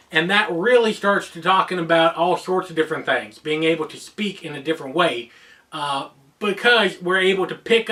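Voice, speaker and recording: Over noticeable background noise, a man with an American accent and a high pitch talks at a moderate pace with ordinary pitch variation. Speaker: geek culture YouTuber. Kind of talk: explainer video monologue.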